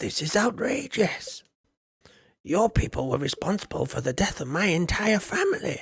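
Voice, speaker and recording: A man does a put-on character voice pitched high. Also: moderate pace. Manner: angry, indignant.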